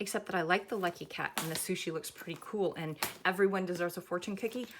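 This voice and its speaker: A woman talks very fast at a medium pitch with fairly even intonation. Noticeable background noise is present. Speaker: craft pattern designer. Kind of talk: tutorial. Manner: casual, chatty.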